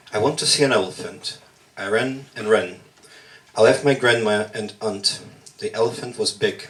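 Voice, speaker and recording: With a Russian accent, a man of medium pitch talks at a moderate pace with ordinary pitch variation and long, frequent pauses over noticeable background noise. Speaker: workshop participant, poet. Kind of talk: spoken word poetry performance. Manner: halting.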